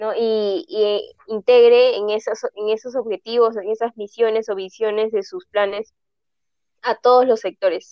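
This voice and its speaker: This woman's voice sits fairly high in pitch. She talks at a fairly slow pace. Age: 20s. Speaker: graphic design student. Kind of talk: casual interview. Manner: halting, many repetitions.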